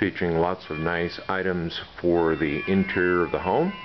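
A man's very deep, low voice at a fairly slow pace, with ordinary pitch variation and music playing behind him. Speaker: auction house staff member giving a walk-through tour of an auction. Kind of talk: casual narration over a video tour. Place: hall. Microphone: phone near.

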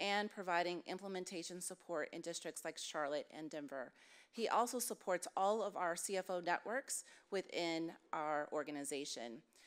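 A woman's fairly low voice at a moderate pace, with ordinary pitch variation against a quiet background. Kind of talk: formal presentation. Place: meeting room. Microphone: podium.

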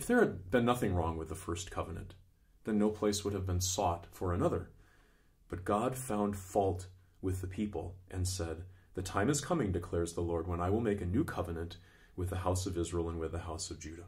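A man's very deep, low-pitched, somewhat breathy voice at a fairly quick pace, with fairly even intonation and a quiet background. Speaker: Bible teacher. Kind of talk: Bible teaching talk. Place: home room.

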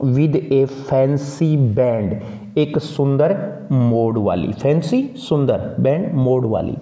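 A fairly high-pitched man with ordinary pitch variation and very even loudness, amid audible room echo and noticeable background noise. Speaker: English teacher. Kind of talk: lecture.

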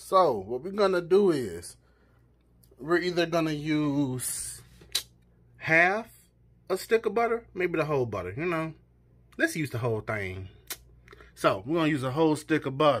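A man speaks at a moderate pace with long, frequent pauses against a quiet background. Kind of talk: cooking tutorial. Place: kitchen. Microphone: phone near.

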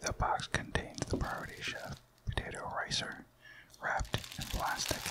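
Someone whispers at a moderate pace. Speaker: cooking channel host. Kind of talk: ASMR product review narration. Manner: whispered, soft-spoken. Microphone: studio mic.

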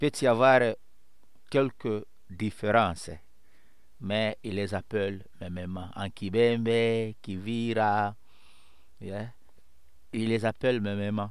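A man with a Swahili accent, fairly low in pitch, at a very slow pace with long, frequent pauses, dry sound with no echo and a quiet background. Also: fairly even intonation, big swings in loudness. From DR Congo. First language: Swahili (speaking French). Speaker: writer and pastor; poet explaining language. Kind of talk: educational monologue; lecture. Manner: hesitant with many fillers. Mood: warm, smiling, explanatory. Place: home room. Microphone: headset.

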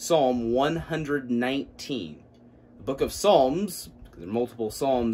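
The reading voice sounds natural. Pitch rises and falls ordinarily.

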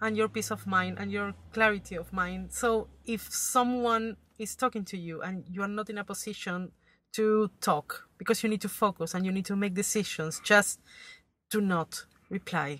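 At a moderate pace and medium pitch, a woman with an Argentine accent speaks with ordinary pitch variation, the sound dry with no echo. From Buenos Aires, Argentina. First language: Spanish. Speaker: driving student. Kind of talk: testimony. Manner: halting. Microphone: phone near.

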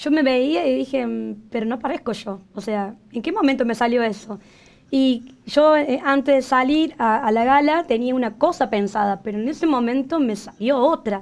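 A high-pitched woman's voice with ordinary pitch variation and a moderate pace. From Córdoba, Argentina. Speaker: singer and singing teacher; singing teacher. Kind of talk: TV interview. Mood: warm, emotional, smiling. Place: studio.

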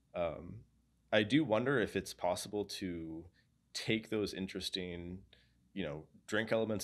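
An ordinary speaking voice goes along at a moderate pace. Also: man. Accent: American. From New England (Boston area); New England. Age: 20s. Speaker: video interviewer and narrator; video interviewer, narrator. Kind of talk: scripted narration and interview. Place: studio.

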